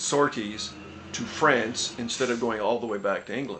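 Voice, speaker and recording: A man's voice comes through at a medium pitch. Noticeable background noise is present. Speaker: interviewer. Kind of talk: interview questions.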